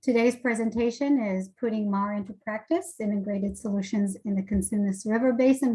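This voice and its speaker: A woman with a normal speaking voice talks in a fairly high pitch with ordinary pitch variation. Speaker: webinar facilitator. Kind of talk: webinar moderation. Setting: video call.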